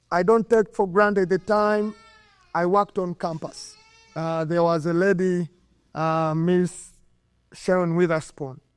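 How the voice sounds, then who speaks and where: With a Ugandan accent, a man speaks at a fairly slow pace and high pitch, his intonation fairly even, in a dry, close sound with no echo. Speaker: former college soccer player, hall of fame inductee. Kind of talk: acceptance speech. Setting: stage with audience at induction ceremony.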